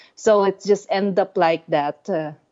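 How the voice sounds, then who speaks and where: A woman speaks in a Filipino accent. She keeps a fairly slow pace. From Philippines. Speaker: heavy metal musician. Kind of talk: casual chat. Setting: phone call. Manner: halting.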